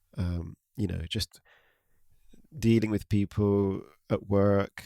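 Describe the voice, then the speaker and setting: A man with a British accent speaks in a fairly low voice. The sound is dry and close with no echo, a very clean recording with a silent background. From UK. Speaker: podcast host. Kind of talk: spiritual talk. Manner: halting, many fillers.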